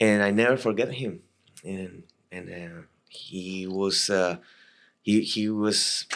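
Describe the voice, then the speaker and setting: On a very clean recording with a silent background, a man with a Latin American accent talks at a very slow pace in a fairly low pitch, his intonation fairly even but his loudness swinging a lot, with long, frequent pauses. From Costa Rica. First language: Spanish. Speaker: military veteran. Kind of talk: podcast interview storytelling. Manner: halting, many repetitions and fillers.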